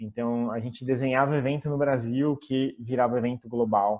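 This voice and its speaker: A man's ordinary speaking voice at medium pitch and a moderate pace. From Brazil. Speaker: former tech company marketing employee. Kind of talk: interview.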